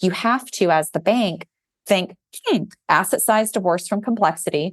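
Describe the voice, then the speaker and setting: A woman talks in a normal speaking voice at a moderate pace with ordinary pitch variation, in a dry, close sound with no echo. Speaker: banking regulatory advisor. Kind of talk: podcast interview.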